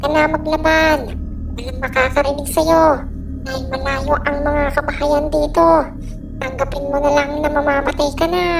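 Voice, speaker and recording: A high-pitched, cartoonish character voice comes through over loud background noise. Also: moderate pace. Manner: taunting, menacing.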